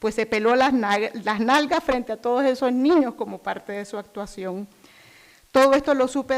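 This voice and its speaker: A woman has an unremarkable speaking voice. She talks at a moderate pace with ordinary pitch variation. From Nicaragua. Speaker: human rights activist. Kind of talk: prepared speech introduction.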